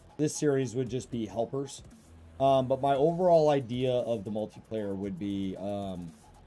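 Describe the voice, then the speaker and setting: With music in the background, a man at a medium pitch speaks with lively intonation. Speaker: gaming streamer. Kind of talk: live gameplay stream with chat. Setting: live stream. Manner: casual, many fillers.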